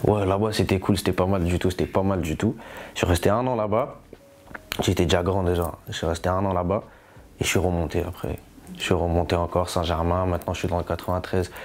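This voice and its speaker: The speech runs at a fairly quick pace with long, frequent pauses and fairly even intonation over noticeable background noise. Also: man, very deep, low pitch for a man. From France, Paris region (Yvelines) and south. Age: 20s. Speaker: rapper. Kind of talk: interview. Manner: casual, repetitive street slang.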